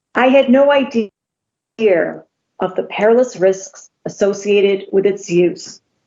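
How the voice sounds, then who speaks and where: The speech moves at a fairly slow pace with long, frequent pauses. Pitch varies in an ordinary way. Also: woman, medium pitch for a woman. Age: 60s. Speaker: patient testifying at legislative hearing. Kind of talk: testimony. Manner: hesitant, many filler words.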